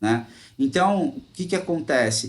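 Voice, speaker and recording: A man speaks with a São Paulo interior accent. His pitch variation is ordinary. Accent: caipira (rural São Paulo). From interior of São Paulo state, Brazil. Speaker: teacher. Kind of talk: online class. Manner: casual, conversational.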